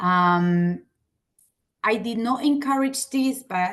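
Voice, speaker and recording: A woman speaks with an Argentine accent. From Argentina. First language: Spanish. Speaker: teacher. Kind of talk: lecture. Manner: halting.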